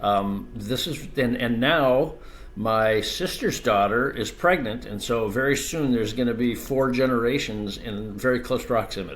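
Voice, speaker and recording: A man talks at medium pitch and a moderate pace. His pitch varies in an ordinary way, and room echo is audible. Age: 60s. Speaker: ADU industry expert. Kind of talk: podcast interview.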